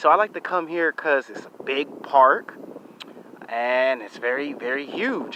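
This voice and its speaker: A man speaks over noticeable background noise. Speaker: YouTube vlogger. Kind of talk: casual vlog to camera. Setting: outdoors in a park. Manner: loud; animated.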